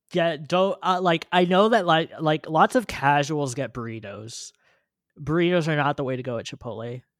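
Using a normal speaking voice and an American accent, a man talks at a moderate pace with lively intonation. The recording is very clean and silent in the background, with a dry, close sound and no echo. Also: big swings in loudness. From California. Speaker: podcast host. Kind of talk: casual chat.

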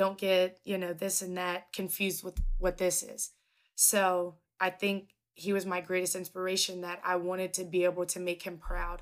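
On a very clean recording with a silent background, a woman speaks at a moderate pace and medium pitch in a flat monotone. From Kentucky, Covington. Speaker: basketball color commentator and former college player. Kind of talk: casual interview.

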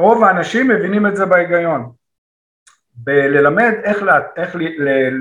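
In a room with audible echo, a man speaks fairly slowly in a high voice with lively intonation. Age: 50s. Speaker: actor and comedy teacher. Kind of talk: interview. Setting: video call.

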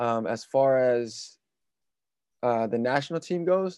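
The speaker has a dark, mellow tone and a West Coast accent. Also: man. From California. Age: 20s. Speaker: basketball player. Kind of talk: interview.

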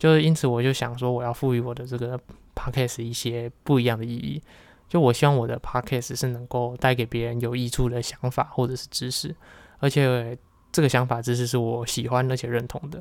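Talking at a fairly quick pace, a man with a Taiwanese accent keeps his intonation fairly even. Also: medium pitch for a man, very clean recording, silent background. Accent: Taiwanese Mandarin. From Taiwan, Kaohsiung. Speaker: podcast host. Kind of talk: solo monologue.

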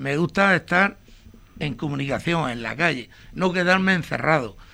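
This man has a high pitch and a bright, sharp tone, and his intonation is lively. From Murcia, Spain (Torre Pacheco area). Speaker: retired electrician. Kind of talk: interview.

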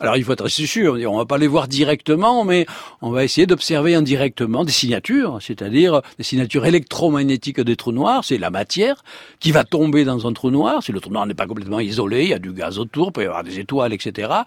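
In a Provençal accent, a man talks at a fairly quick pace with a medium-pitched voice and very wide pitch swings. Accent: southern French (Provençal). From Provence, southern France. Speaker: astrophysicist. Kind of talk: radio interview. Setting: studio.

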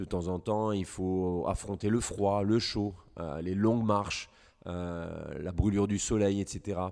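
A man with an unremarkable speaking voice talks fairly slowly in a fairly low pitch, his intonation fairly even. The recording is very clean, with a silent background. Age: 40s. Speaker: hunting guide. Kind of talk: interview.

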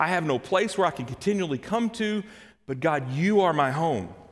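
A man speaks with a Kentucky accent. His intonation is lively. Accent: Kentucky Southern US. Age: 30s. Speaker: church elder, lay preacher. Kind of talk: sermon. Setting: church service. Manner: halting, repeats words.

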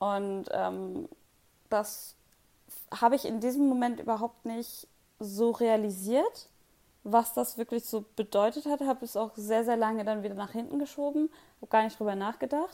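A woman's fairly high-pitched voice with a dark, mellow tone at a moderate pace, broken by long, frequent pauses. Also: ordinary pitch variation. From Hamburg, northern Germany. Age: 20s. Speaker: project manager. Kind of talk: casual interview.

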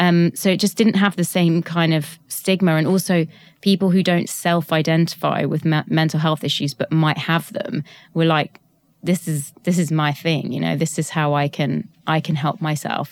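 This woman has a plain, everyday voice, fairly low in pitch, with fairly even intonation at a moderate pace. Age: 30s. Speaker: tech startup founder. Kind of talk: interview.

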